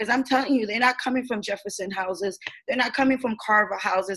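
A woman speaks with a New York accent and ordinary pitch variation. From New York City, East Harlem. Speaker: community activist. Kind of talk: panel discussion. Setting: video call.

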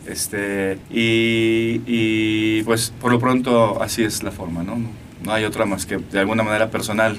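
The man talks at a fairly slow pace in a medium pitch. His intonation is monotone and flat. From Mexico, Aguascalientes. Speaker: musician. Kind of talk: interview. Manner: halting.

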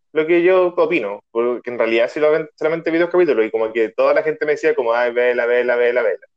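A man with a Chilean accent speaks at a very fast pace with hardly any pauses. His pitch is fairly high, with ordinary variation. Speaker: podcast host. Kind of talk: casual chat. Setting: video call.

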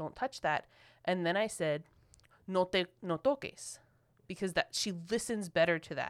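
In a Philadelphia accent, the voice carries lively intonation through a dry, close sound with no echo on a very clean recording with a silent background. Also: woman. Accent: Philadelphia American English. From Philadelphia, US. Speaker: podcast co-host. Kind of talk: casual chat. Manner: emotional, impassioned.

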